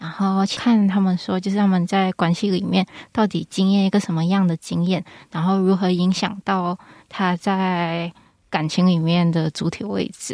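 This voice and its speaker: In a very clean recording with a silent background, a woman speaks at a moderate pace in a medium pitch with monotone, flat intonation. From Malaysia. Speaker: clinical psychology graduate student. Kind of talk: casual chat.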